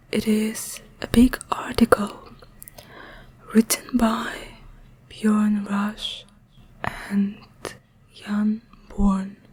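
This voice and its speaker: A woman at a very slow pace with long, frequent pauses, fairly high in pitch and monotone, flat in intonation, over noticeable background noise. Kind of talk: ASMR reading of a scientific article. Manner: whispered, soft-spoken.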